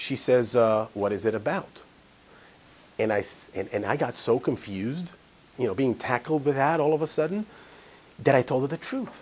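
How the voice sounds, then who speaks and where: With lively intonation, a man talks at medium pitch and a moderate pace, leaving long, frequent pauses. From Israel. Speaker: financial advisor / seminar speaker. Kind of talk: live seminar talk with anecdote.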